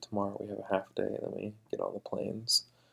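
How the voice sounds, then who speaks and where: A soft-spoken man at a moderate pace. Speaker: tech vlogger, iOS developer. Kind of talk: casual vlog. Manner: quiet, soft-spoken; hesitant, many fillers.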